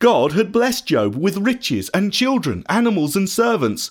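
A man's voice with very wide pitch swings at a moderate pace, on a very clean recording with a silent background. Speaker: storyteller narrating Bible story. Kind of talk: dramatic Bible-story narration, scripted reading with character lines. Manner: urgent, breathless, emotive in the raiders' lines; hushed, solemn, halting in grief passages.

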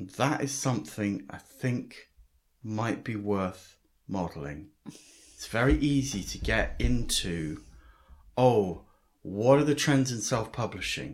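Vocal fry marks this man's medium-pitched voice, with lively intonation. He talks at a very slow pace, with long, frequent pauses. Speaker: podcast host and writing teacher. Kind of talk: interview.

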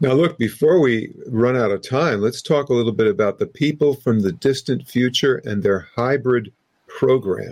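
In a plain, everyday voice, a man talks at a medium pitch and moderate pace, with ordinary pitch variation and very even loudness. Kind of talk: interview. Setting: video call.

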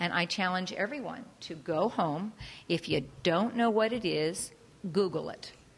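Using an unremarkable speaking voice, a woman of medium pitch talks at a fairly slow pace with lively intonation. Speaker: audience member. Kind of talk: audience question or comment. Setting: library talk with audience.

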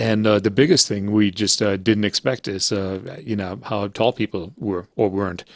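A man with a slight German accent, fairly low in pitch, fairly even in intonation, and with hardly any pauses. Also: moderate pace. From Germany, then Canada from age twelve. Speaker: jazz pianist and music professor. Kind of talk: interview. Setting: video call. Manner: halting, many fillers.

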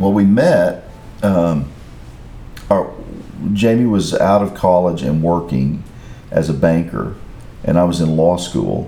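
Through noticeable background noise and audible room echo, a man with a very deep, low pitch and ordinary pitch variation speaks at a fairly slow pace with long, frequent pauses. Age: 60s. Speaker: lawyer, husband and father. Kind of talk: casual interview chat.

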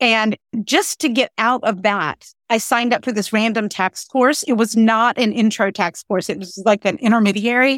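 A woman's unremarkable speaking voice with an American accent, fairly high in pitch with ordinary pitch variation, at a moderate pace, in a dry, close sound with no echo and a very clean recording over a silent background. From North Carolina. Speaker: tax lawyer and writer. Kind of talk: casual interview.

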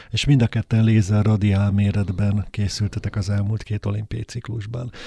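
The man's voice is somewhat breathy, with a dark, mellow tone. The recording is very clean, dry and close, with a silent background and no echo. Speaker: interviewer host. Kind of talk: interview. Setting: studio.

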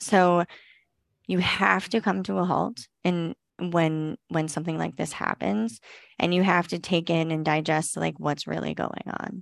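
Lively in intonation and fairly slow, this is a plain, everyday voice. The sound is dry and close with no echo, over a quiet background. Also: woman, fairly low pitch for a woman. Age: 30s. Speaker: esthetician and business owner. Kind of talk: interview.

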